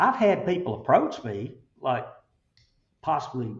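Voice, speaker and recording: A man with an Alabama accent, somewhat breathy, with lively intonation. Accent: Southern US, Alabama. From Chelsea, Alabama. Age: 60s. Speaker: construction company CEO. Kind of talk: interview, conversational. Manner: casual, folksy, halting with fillers.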